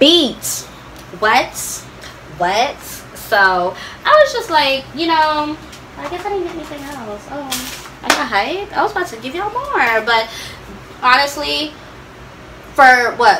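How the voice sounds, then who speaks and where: A woman uses a raised, projected voice at a high pitch, with very wide pitch swings. She moves at a fairly slow pace with long, frequent pauses, and there is light background noise. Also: big swings in loudness. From partly raised in Florida, US South. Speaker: YouTuber, beauty and lifestyle vlogger; vlogger. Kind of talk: product review vlog. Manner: animated. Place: home room.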